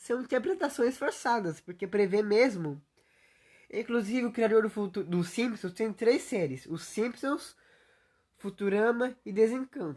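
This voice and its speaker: A woman with a plain, everyday voice speaks at a fairly slow pace and fairly high pitch, her intonation lively, over a quiet background. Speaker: youtuber. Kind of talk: livestream monologue. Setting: solo livestream.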